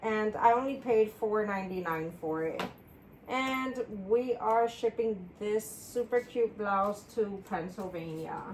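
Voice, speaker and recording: Talking at a very slow pace, a woman with a fairly high pitch uses ordinary pitch variation over noticeable background noise. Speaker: part-time reseller and single parent. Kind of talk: casual vlog chat while packing orders. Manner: loud.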